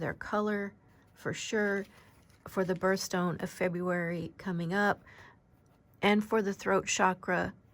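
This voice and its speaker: Soft-spoken and very slow, a woman of medium pitch speaks with monotone, flat intonation on a very clean recording with a silent background. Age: 50s. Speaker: oracle card reader. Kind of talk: spiritual card reading.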